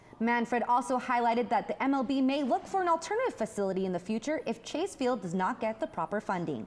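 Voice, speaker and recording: Over noticeable background noise, a woman speaks at a very fast pace. Her high pitch takes very wide swings. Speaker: sports reporter and anchor. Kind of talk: sports news report.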